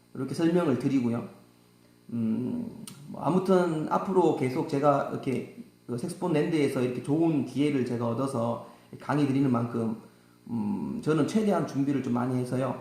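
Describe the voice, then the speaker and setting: With a strong Gyeongsang accent, a man talks at a moderate pace over noticeable background noise and audible room echo. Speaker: saxophone teacher. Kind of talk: tutorial. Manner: halting, many fillers.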